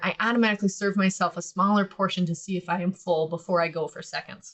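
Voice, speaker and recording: A woman speaks at a fairly quick pace in a Midwestern accent. Her medium-pitched voice is somewhat breathy. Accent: Midwest American. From US Midwest. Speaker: podcast host and business owner. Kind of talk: casual instructional podcast talk. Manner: conversational, animated.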